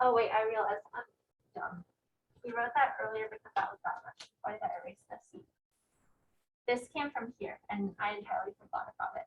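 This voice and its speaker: The voice makes very wide pitch swings and big swings in loudness. Long pauses come often. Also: woman, fairly high pitch for a woman, fairly quick pace. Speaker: teaching assistant. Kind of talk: lecture. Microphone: no microphone, projecting voice.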